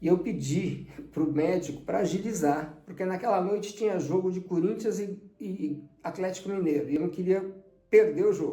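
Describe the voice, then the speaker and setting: Dark, mellow tone at a fairly slow pace, with ordinary pitch variation and audible room echo. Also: man. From Brazil, São Paulo. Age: 60s. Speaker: transplant survivor, amateur tennis player. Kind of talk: testimony.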